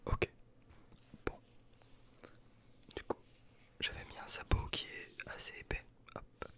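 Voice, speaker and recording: Very slow whispering broken by long, frequent pauses. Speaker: ASMR creator. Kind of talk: ASMR roleplay as a barber. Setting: studio, close microphone.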